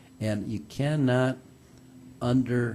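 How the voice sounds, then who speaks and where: Dark, mellow tone and a somewhat breathy quality from a male speaker. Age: 60s. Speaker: political candidate. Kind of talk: interview.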